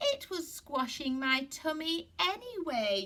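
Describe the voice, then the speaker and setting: The speaker uses a put-on character voice with a sing-song delivery. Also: woman. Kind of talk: bedtime story. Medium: read story. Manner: cheerful, singsong.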